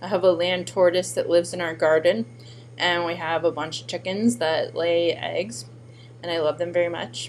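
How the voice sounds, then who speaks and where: Speaking at a moderate pace with ordinary pitch variation, a woman uses a normal speaking voice that sits fairly low in pitch. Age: 30s. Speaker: former teacher and artist. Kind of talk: personal introduction video. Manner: casual, with filler words.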